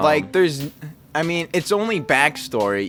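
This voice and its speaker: A man's pitch swings very widely as he talks, with music in the background. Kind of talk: casual talk about his own writing. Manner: casual, candid.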